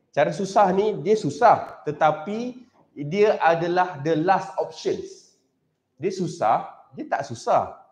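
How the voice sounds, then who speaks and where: This man's voice sits high for a man, with lively intonation and a very slow pace. The room echo is audible. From Malaysia. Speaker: teacher. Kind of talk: live-streamed maths tutorial. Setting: live stream recorded on camera. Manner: casual, mixing English and Malay. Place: classroom.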